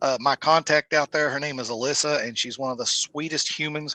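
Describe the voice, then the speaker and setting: With a Southern US accent, a man speaks at a moderate pace in a fairly high, bright, sharp voice, with a dry, close sound with no echo against a quiet background. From US South. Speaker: musician and local show promoter. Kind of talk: casual podcast interview.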